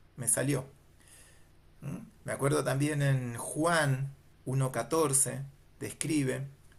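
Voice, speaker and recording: A man's fairly high, somewhat breathy voice at a very slow pace, with fairly even intonation and long, frequent pauses. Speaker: Bible teacher. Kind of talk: lecture.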